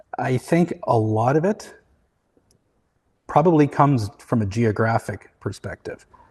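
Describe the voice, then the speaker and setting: A somewhat breathy man with a Canadian accent, lively intonation, a fairly slow pace, and long, frequent pauses, in a dry, close sound with no echo. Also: medium pitch for a man. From Canada (Vancouver). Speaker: materials designer, company founder. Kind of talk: interview.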